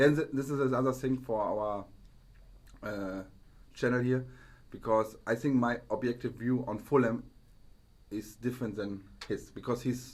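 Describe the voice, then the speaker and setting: With a German accent, a man of medium pitch talks at a moderate pace with fairly even intonation and long, frequent pauses. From Germany. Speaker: football podcast co-host. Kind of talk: casual chat. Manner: halting.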